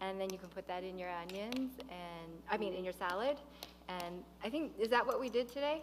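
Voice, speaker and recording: A woman with lively intonation at a moderate pace over noticeable background noise. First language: not English. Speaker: physician. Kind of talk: cooking demonstration.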